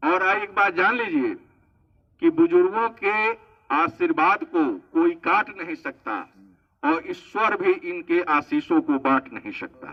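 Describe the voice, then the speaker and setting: Swinging very widely in pitch, a man speaks with a high voice. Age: 60s. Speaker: government official speaking at event. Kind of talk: public speech. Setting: event at old age home.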